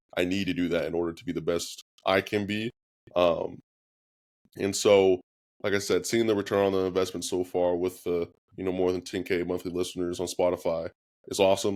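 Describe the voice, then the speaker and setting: A man's very deep, low voice with an American accent and monotone, flat intonation at a fairly quick pace, on a very clean recording with a silent background. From California, Norco. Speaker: former college quarterback and country singer. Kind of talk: interview.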